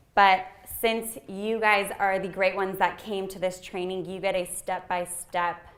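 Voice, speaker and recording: Against noticeable background noise, a woman speaks at a medium pitch and a fairly slow pace, her intonation monotone and flat but her loudness swinging widely. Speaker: nonprofit marketing trainer. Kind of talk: workshop tutorial.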